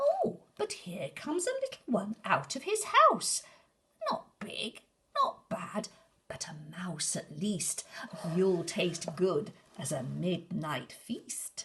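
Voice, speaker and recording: A female-sounding put-on character voice at a middle pitch, speaking at a very slow pace. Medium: read story.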